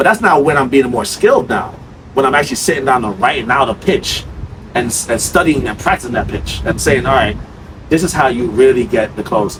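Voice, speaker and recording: Over noticeable background noise, a man with an American accent talks in an animated tone at a fairly quick pace with lively intonation. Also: medium pitch for a man. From New York. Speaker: sales trainer. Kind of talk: sales role-play and casual discussion. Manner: fast.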